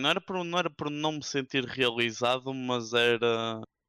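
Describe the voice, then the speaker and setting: Recorded very cleanly against a silent background with a dry, close sound with no echo, a man speaks in a bright, sharp tone at medium pitch, moderate pace and ordinary pitch variation. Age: 20s. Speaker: esports journalist. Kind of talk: casual chat. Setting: Twitch live stream.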